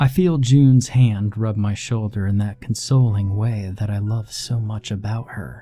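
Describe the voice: Some plain reading aloud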